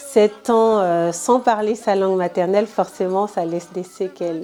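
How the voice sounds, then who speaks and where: A woman with an Ivorian accent speaks at a fairly slow pace and medium pitch. Her intonation is fairly even, and there is noticeable background noise. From Ivory Coast, south (Baoulé village). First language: Baoulé (speaking French). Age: 20s. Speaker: entrepreneur, interviewee. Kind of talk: interview testimony. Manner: hesitant, many fillers.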